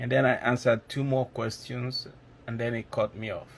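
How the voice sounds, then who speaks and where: Monotone, flat intonation marks a man speaking at medium pitch. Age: 60s. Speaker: nursing exam taker giving testimonial. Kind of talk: testimony. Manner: halting, with many fillers.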